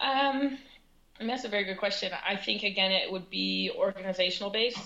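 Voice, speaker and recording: A woman with a plain, everyday voice, medium in pitch, at a moderate pace with ordinary pitch variation. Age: 20s. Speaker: professional soccer player. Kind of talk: interview.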